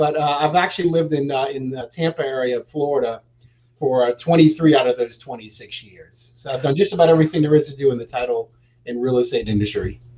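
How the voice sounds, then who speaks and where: A man's fairly high, somewhat breathy voice at a very fast pace, with big swings in loudness. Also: ordinary pitch variation. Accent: American. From New Orleans, US South. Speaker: real estate exchange specialist. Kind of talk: interview on a live show. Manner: hesitant fillers.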